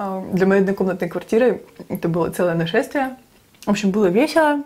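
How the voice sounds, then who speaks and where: A moderate pace with ordinary pitch variation. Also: woman. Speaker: mukbang vlogger. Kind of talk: casual storytelling vlog chat. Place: kitchen.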